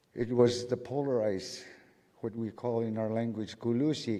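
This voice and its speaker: With a western Alaskan accent, the voice has a dark, mellow tone, fairly even intonation and a moderate pace. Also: man. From St. Lawrence Island, Alaska. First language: Siberian Yupik. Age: 50s. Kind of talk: speech to a conference audience.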